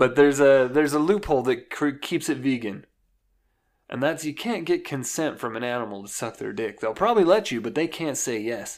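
In a very clean recording with a silent background, a plain, everyday voice moves at a fairly quick pace with lively intonation. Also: man, fairly high pitch for a man. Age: 20s. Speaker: podcast co-host. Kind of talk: casual chat.

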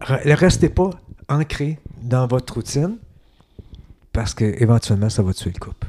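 A man's dark, mellow, somewhat breathy voice at medium pitch, in a Quebec accent, with lively intonation, a fairly slow pace and long, frequent pauses. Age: 60s. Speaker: podcast guest. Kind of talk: casual interview chat.

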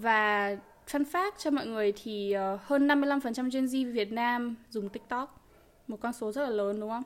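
A woman speaks at a very slow pace. Her pitch sits fairly high. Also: ordinary pitch variation. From Vietnam. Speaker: podcast co-host. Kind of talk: casual chat.

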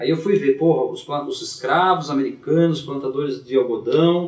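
A man speaks at a moderate pace with ordinary pitch variation. Noticeable background noise and audible room echo fill the recording. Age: 40s. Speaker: teacher and blues harmonica player. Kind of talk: casual chat.

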